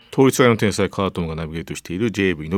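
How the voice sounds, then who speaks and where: A man talks at a very fast pace in a very deep, low pitch with lively intonation. The recording is very clean with a silent background and a dry, close sound with no echo. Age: middle-aged. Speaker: radio host. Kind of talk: casual chat.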